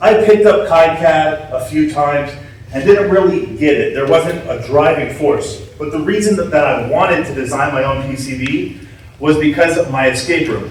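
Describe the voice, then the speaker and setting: Amid audible room echo and noticeable background noise, a man with a fairly high pitch speaks with big swings in loudness. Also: ordinary pitch variation. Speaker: security conference speaker, hardware hacker. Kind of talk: conference talk. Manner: slow.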